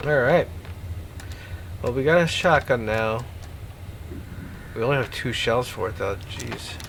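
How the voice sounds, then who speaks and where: A man of medium pitch talks at a fairly slow pace with lively intonation and long, frequent pauses. Noticeable background noise is present. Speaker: gaming streamer. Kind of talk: gameplay commentary. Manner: stutters sometimes.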